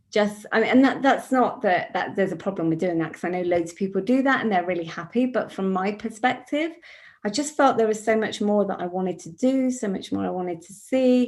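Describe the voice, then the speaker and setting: In a British accent, a woman speaks at a fairly quick pace. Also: medium pitch for a woman. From UK. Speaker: author. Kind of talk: panel interview.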